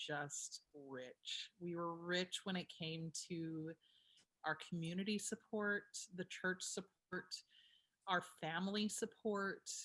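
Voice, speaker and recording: Bright and sharp in tone, the voice carries an American accent. Its intonation stays fairly even. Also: woman. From US South, northwest Georgia. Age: 30s. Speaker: opera singer. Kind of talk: casual interview chat.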